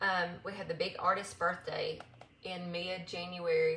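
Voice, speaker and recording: Against audible room echo, a woman with an American accent speaks at a medium pitch. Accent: Southern US accent, noticed by others. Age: 40s. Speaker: makeup seller. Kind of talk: live makeup tutorial. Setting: livestream. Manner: casual, with many fillers.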